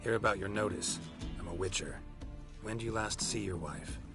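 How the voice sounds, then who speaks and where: A man uses a put-on character voice with a fairly low pitch at a fairly quick pace. Loud music plays in the background. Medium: video game. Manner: terse, clipped, flat.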